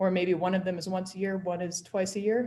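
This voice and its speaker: Her pace is moderate and her pitch medium. The woman has an unremarkable speaking voice. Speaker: public commission staff presenter. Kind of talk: public meeting presentation. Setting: video call.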